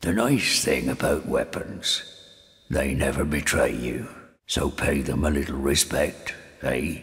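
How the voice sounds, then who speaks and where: Raspy and very deep, a man speaks at a fairly slow pace. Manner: sardonic, scornful.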